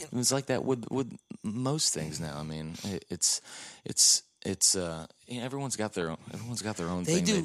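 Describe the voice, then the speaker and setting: With a Texan accent, a man talks at a very slow pace in a fairly low pitch with very wide pitch swings, on a very clean recording with a silent background. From Texas. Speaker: podcast guest, music touring crew member.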